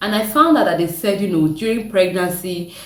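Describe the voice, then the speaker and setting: With medium pitch and ordinary variation, a woman speaks amid noticeable background noise and audible room echo. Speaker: content creator. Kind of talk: reaction vlog.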